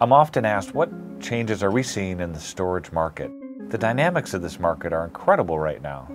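Over clear music in the background, a man talks at a fairly quick pace. His pitch is very deep and low. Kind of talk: corporate explainer to camera. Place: office. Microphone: lapel.

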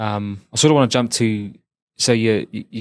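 A man speaks in a New Zealand accent at a fairly low pitch. His pace is moderate and his intonation monotone and flat. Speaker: podcast host. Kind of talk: interview. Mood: warm, relaxed, friendly. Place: studio. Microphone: studio mic.

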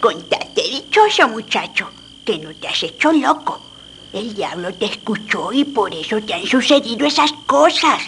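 Very wide pitch swings mark this woman's high voice at a moderate pace. Clear background noise is present. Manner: gruff, scolding, then commanding.

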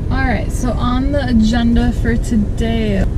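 Over loud background noise, a woman speaks at a fairly slow pace with ordinary pitch variation in a dry sound with no echo. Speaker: travel vlogger. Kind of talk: casual vlog chat. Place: car. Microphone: phone near.

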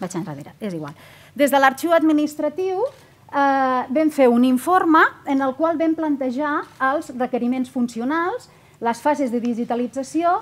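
A woman talks at a fairly slow pace with a high pitch. Her intonation is lively. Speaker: government archivist, conference speaker; conference speaker. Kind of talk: conference presentation. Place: hall. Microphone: podium.

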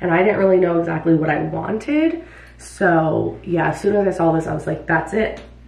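A woman keeps a moderate pace, and audible echo from the room follows her words. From New York City (Bronx) until age 10. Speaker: vlogger and hairstylist; vlogger. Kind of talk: casual vlog talk to camera. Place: bathroom.

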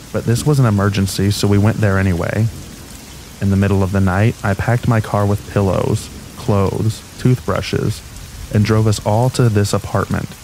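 With noticeable background noise behind him, a man talks at a moderate pace in a fairly low pitch, his intonation fairly even and his loudness very even. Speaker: narrator of reddit horror stories. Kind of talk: scripted narration, reading aloud true scary stories as a sleep aid. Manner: steady, low-key, matter-of-fact narration of disturbing events.

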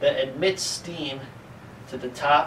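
Light background noise sits behind a man's speech. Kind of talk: lecture. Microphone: camera far.

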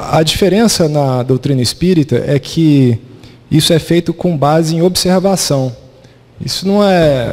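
Ordinary pitch variation at a fairly slow pace. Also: man. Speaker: lecturer. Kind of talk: lecture. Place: hall. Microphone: handheld.

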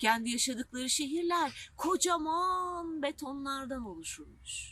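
A woman speaks at a fairly slow pace. Her tone is bright and sharp.

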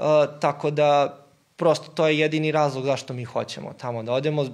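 A man at a moderate pace over a quiet background. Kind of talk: interview answer. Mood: calm, friendly. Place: office.

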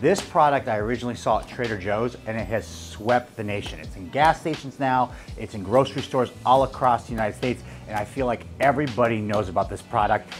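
Clear music plays behind a man talking at a very fast pace. His pitch varies in an ordinary way while his loudness swings widely. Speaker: fitness coach reviewer. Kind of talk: product review to camera. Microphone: lapel.

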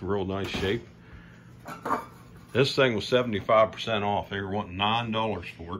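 Noticeable background noise sits under this recording. A man with a fairly low pitch talks at a moderate pace, his intonation fairly even. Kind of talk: casual vlog chat. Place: home room. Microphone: phone near.

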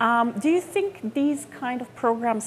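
Over light background noise, a woman talks at a moderate pace in a Croatian accent. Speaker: film journalist. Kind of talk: interview. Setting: film festival. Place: hall.

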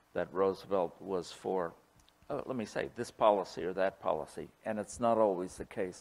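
A man's fairly low voice at a fairly quick pace with ordinary pitch variation. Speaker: historian and cartoonist. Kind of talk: lecture with Q&A. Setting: stage with audience. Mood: humorous, anecdotal. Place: hall. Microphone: podium.

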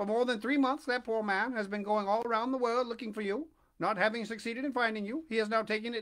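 In a natural reading voice, the intonation stays fairly even.

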